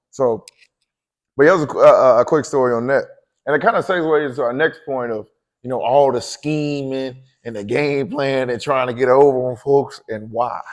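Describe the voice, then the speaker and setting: Ordinary pitch variation and a moderate pace in a man's fairly high-pitched voice. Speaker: podcast co-host. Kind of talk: casual chat. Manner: loud.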